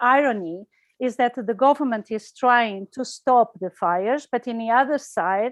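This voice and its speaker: A woman with a Portuguese accent and fairly high pitch, ordinary pitch variation, a dry, close sound with no echo and a quiet background. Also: moderate pace. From Portugal. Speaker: environmental campaigner. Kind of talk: online talk. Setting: video call. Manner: halting.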